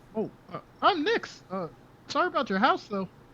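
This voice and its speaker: In a put-on character voice, a man speaks at a moderate pace with an extremely high pitch and very wide pitch swings. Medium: actual play. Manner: giggly.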